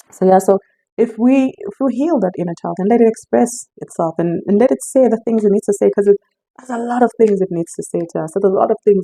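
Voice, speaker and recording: Delivered at a very fast pace with ordinary pitch variation, the voice has a dark, mellow tone and a dry, close sound with no echo. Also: woman, medium pitch for a woman. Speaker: intuitive life coach. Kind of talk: casual spiritual talk to camera. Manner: halting, many restarts.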